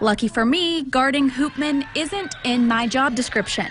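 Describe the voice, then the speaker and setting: A woman with a high voice speaks with lively intonation. Noticeable background noise runs behind her. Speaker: sports reporter. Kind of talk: TV sports news anchoring and reporting.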